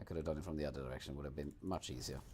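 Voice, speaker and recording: Vocal fry with fairly even intonation. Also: man. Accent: Swedish. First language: Swedish. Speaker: video game streamer. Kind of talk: gameplay livestream commentary. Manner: casual.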